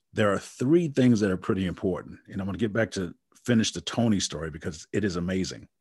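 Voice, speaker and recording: Against a quiet background, a man with an American accent and a fairly low pitch speaks at a very fast pace with ordinary pitch variation. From Wisconsin. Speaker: motivational speaker and coach. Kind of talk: casual interview.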